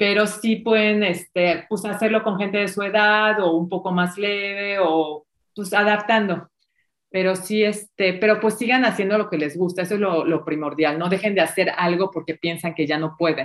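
A woman with a plain, everyday voice speaks at a moderate pace and medium pitch with fairly even intonation, in a very clean recording with a silent background. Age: 50s. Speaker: dancer and fitness instructor. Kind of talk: interview conversation.

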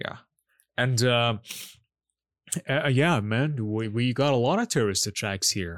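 Speaking with a Persian accent, a man talks at a fairly slow pace and medium pitch, with ordinary pitch variation and long, frequent pauses. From Iran. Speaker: podcast co-host. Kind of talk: casual chat. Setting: remote call.

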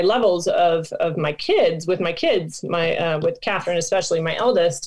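A woman with an American accent speaks at a fairly slow pace. Her medium-pitched voice is unremarkable. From Michigan, US Midwest. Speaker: nonprofit founder and former soccer player. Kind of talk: interview.

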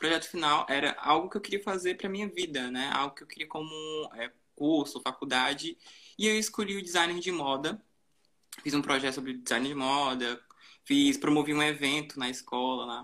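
In an unremarkable speaking voice, a man talks at a moderate pace with a fairly high pitch, ordinary pitch variation and big swings in loudness. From Brazilian countryside. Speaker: fashion social media manager. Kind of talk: live-stream conversation. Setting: live stream on Instagram.

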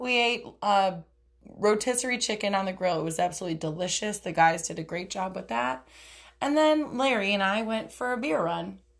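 A loud, animated woman's voice at medium pitch with very wide pitch swings. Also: fairly quick pace. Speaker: podcast host. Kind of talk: casual monologue.

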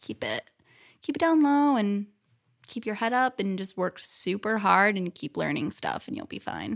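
With a plain, everyday voice, a woman speaks at a moderate pace and medium pitch with lively intonation in a very clean recording with a silent background. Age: 30s. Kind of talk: interview conversation. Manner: laughs often.

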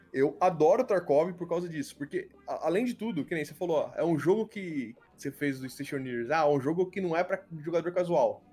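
A man with a high-pitched voice speaks at a fairly quick pace. His intonation is lively. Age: 30s. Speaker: YouTuber and engineer. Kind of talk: casual chat.

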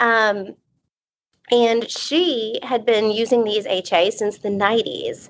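A woman's fairly high-pitched voice. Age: 30s. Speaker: dermatology physician assistant and aesthetics trainer. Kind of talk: casual interview.

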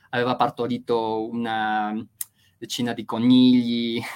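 A man at a medium pitch with a Spanish accent. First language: Spanish (speaking Italian). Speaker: literature professor. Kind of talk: interview. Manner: hesitant, many fillers.

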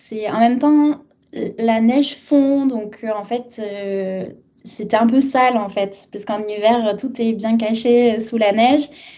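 This woman's voice is fairly high. She talks at a very slow pace. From southern France (Arles). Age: 30s. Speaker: translator, expat guest. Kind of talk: casual interview.

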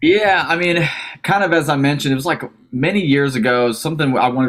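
A man with a plain, everyday voice speaks at a fairly quick pace. His intonation is lively. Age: 20s. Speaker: rock guitarist and band founder. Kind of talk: casual interview. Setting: remote call.

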